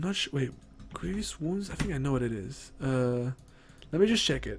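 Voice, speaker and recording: The pitch swings very widely. Noticeable background noise is present. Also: man. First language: not English. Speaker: gaming streamer. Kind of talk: game patch notes rundown on stream. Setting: livestream. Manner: animated, casual with many fillers.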